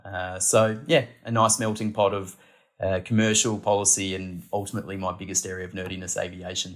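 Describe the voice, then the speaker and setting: Fairly low in pitch and with an Australian accent, a man speaks at a fairly quick pace with fairly even intonation. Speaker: podcast guest, aviation policy analyst. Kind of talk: interview.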